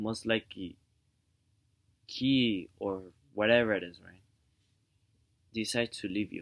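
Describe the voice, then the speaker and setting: The speech moves at a fairly slow pace with long, frequent pauses, fairly even intonation and big swings in loudness. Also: man, fairly low pitch for a man. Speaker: vlogger giving relationship advice. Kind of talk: casual vlog monologue. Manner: soft-spoken; rambling, halting with fillers.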